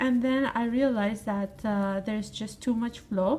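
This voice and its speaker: Speaking fairly slowly with a non-native accent, a woman uses a fairly high pitch and ordinary pitch variation. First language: not English. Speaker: fashion student. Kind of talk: recorded monologue. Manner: halting.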